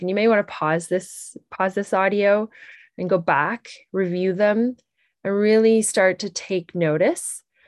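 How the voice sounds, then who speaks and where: Against a quiet background, a woman talks at a fairly slow pace with a medium pitch. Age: 40s. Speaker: wellness podcast host. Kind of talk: solo podcast monologue. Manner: animated.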